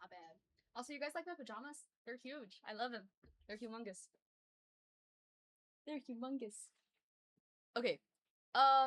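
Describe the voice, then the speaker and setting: A woman with an American accent speaks at a moderate pace in a high, animated voice, with big swings in loudness. Her long, frequent pauses come through in a dry, close sound with no echo. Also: ordinary pitch variation. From US South. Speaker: streamer. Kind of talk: casual chat. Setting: live stream.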